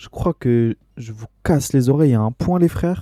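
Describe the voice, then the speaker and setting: Recorded dry and close with no echo, a man speaks in a dark, mellow tone with ordinary pitch variation. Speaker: gaming streamer. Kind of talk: let's play commentary. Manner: loud.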